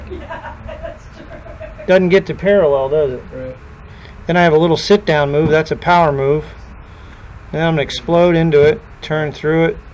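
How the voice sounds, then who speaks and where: A man talks at a moderate pace with big swings in loudness while noticeable background noise continues. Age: 50s. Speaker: golf instructor. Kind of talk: tutorial. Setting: in-person lesson with student.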